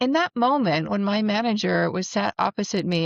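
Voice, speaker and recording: In an American accent, a normal speaking voice with lively intonation moves at a moderate pace against a quiet background, with a dry, close sound with no echo. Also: woman. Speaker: spiritual coach and psychic medium. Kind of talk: personal introduction video.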